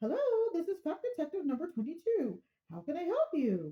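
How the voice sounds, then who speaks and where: A squeaky, high-pitched put-on character voice moves at a fairly quick pace. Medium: solo performance. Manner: calm, tough-talking, calls caller 'lady'.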